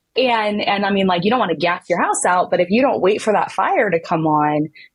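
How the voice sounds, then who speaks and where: Her voice somewhat breathy, a woman talks at a fairly quick pace with ordinary pitch variation and very even loudness. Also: medium pitch for a woman. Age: 30s. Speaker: former foster youth, PhD holder. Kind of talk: testimony. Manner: animated.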